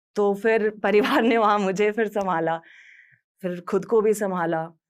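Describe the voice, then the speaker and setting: With a normal speaking voice, a woman talks at medium pitch with ordinary pitch variation over a very clean recording with a silent background. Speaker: radio jockey. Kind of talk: motivational talk.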